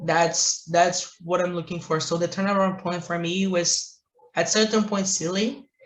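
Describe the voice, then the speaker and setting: A man speaks at a high pitch. His intonation stays fairly even. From Brazil. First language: Portuguese. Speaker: entrepreneur, marketing agency owner. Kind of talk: interview answer.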